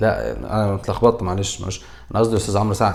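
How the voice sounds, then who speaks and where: A man with a Cairo accent speaks in an animated tone. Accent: Egyptian Arabic (Cairene). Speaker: comedian, YouTuber. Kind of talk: comedic commentary. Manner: halting, with self-corrections.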